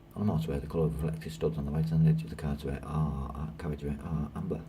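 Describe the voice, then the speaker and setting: A man's very fast, mumbling speech at a very deep, low pitch, with fairly even intonation, audible room echo and noticeable background noise. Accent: British. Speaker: trainee lorry driver. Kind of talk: reading quiz questions aloud while taking a mock test. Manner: fast, hurried.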